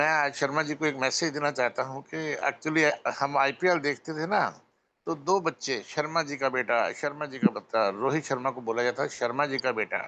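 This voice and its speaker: This man's fairly high voice has a bright, sharp tone, ordinary pitch variation, and a moderate pace. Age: 60s. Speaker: network marketing member speaking at meeting. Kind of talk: motivational speech on a video call. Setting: video call.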